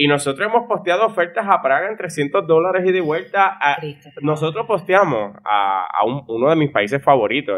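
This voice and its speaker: Hardly pausing, a man speaks at a moderate pace in a fairly high pitch with very wide pitch swings. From Puerto Rico (Florida municipality). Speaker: travel deals entrepreneur. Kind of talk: interview conversation.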